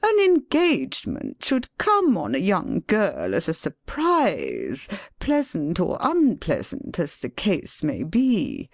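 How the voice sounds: A put-on character voice with a high pitch, at a fairly slow pace against a quiet background.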